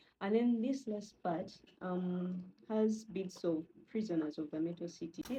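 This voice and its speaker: A woman speaks at a fairly slow pace with a somewhat breathy, dark and mellow tone. Her pitch sits in the medium range, with ordinary variation. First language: not English. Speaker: novelist and video creator. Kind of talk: casual vlog talk. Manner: many fillers and false starts.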